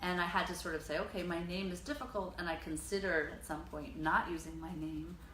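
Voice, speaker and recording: An American accent comes at a fairly quick pace with ordinary pitch variation. The recording has audible room echo and noticeable background noise. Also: woman. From US, Dutch parents. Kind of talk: interview. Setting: her studio. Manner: hesitant, many fillers.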